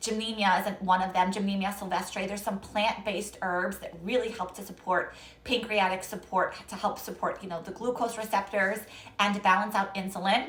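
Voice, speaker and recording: In a room with audible echo, a woman speaks at a fairly quick pace. Her medium-pitched voice has a monotone, flat intonation. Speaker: naturopathic health practitioner. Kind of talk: live-stream Q&A talk. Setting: Instagram live stream. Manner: fast.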